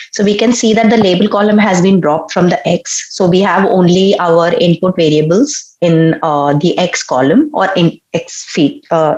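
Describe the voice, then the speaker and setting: With hardly any pauses, a woman talks at a medium pitch with lively intonation and very even loudness over noticeable background noise. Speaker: machine learning instructor. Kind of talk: online lecture. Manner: hesitant, many fillers.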